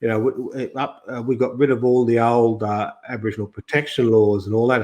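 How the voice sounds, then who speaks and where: At a fairly quick pace, a man with an Australian accent speaks at a medium pitch in a monotone, flat way. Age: 60s. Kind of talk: podcast interview. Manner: halting, many restarts.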